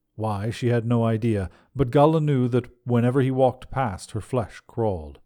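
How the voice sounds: Simply a natural reading voice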